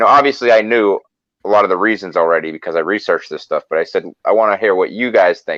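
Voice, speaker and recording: Fairly quick speech in a Boston accent, with a dry, close sound and no echo. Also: man. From US Northeast, Boston. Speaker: political activist. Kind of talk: casual chat.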